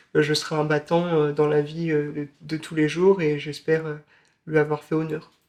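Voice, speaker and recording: A man holds a moderate pace and a fairly high pitch, his intonation monotone and flat. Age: 20s. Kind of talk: interview. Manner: halting, many hesitations.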